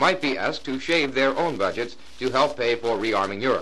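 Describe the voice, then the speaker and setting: A man with an American accent talks at a fairly quick pace. His medium-pitched voice has lively intonation. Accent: mid-century American broadcast. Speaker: radio news announcer. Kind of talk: vintage radio news report.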